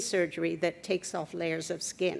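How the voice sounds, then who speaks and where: A woman is speaking. Her voice has vocal fry. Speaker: patient advocate. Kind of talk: testimony.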